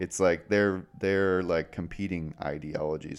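At a moderate pace, a man with a very deep, low pitch speaks with fairly even intonation. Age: 20s. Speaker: podcast host, design firm co-owner. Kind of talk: casual chat.

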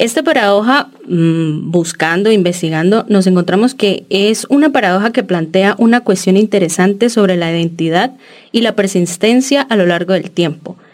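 Her voice sits at a medium pitch, and the woman speaks at a moderate pace in an unremarkable speaking voice. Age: 30s. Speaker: podcast co-host, architecture student. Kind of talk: casual chat.

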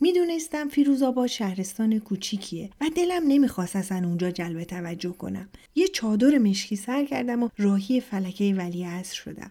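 A woman's medium-pitched, somewhat breathy voice, dark and mellow in tone, at a moderate pace with very wide pitch swings. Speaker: podcast host and storyteller. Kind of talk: scripted narration of personal stories.

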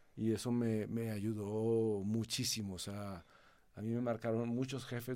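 A man speaks at medium pitch with a dark, mellow tone. His pace is fairly slow and his intonation monotone and flat. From Mexico, Monterrey. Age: 50s. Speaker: company president. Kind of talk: interview.

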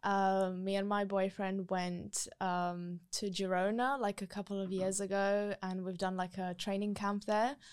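With hardly any pauses, the speech comes in a monotone, flat intonation on a very clean recording with a silent background. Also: woman, medium pitch for a woman, fairly slow pace. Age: 20s. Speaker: triathlete and sport influencer. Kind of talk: casual chat.

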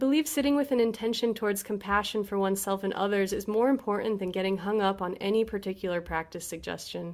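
A woman's ordinary speaking voice, with hardly any pauses and ordinary pitch variation. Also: medium pitch for a woman. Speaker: meditation teacher. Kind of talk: guided meditation. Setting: video call. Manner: slow, calm, soothing; gentle, unhurried with long pauses.

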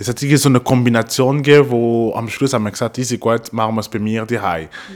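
At a very fast pace and with hardly any pauses, a man of medium pitch talks with ordinary pitch variation and big swings in loudness. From Congo. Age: 30s. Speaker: podcast guest. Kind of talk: casual chat.

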